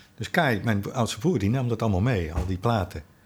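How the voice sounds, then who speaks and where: A man talks at a fairly quick pace with ordinary pitch variation. His voice sounds somewhat breathy. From Netherlands, The Hague. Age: 60s. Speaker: jazz drummer. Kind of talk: casual interview chat. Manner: halting, many repetitions.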